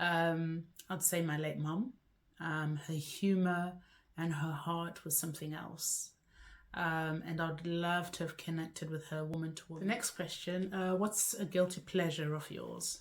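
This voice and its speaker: A woman's fairly low, monotone, flat voice in a Zimbabwean accent, at a fairly slow pace, on a very clean recording with a silent background. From Zimbabwe (Bulawayo, Masvingo). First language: Shona. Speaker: lifestyle vlogger. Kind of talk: casual vlog to camera.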